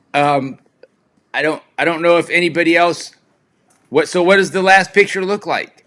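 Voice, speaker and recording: Loud speech at a moderate pace, fairly even intonation, long and frequent pauses. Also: man, high pitch for a man. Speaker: live stream host. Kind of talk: casual chat. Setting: live video stream with remote guest. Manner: loud, projecting voice; yelling.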